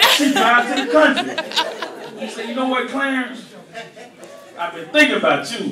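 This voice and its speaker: Over noticeable background noise and audible room echo, a man projects a raised voice at an extremely high pitch, fairly slow in pace and lively in intonation. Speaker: comedian. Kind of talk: stand-up. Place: stage.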